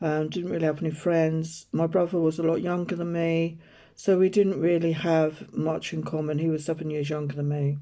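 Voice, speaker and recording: With an English accent, the speaker talks at a moderate pace. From rural UK. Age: 60s. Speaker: tarot reader and spiritual healer. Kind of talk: personal storytelling monologue. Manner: casual, hesitant with fillers.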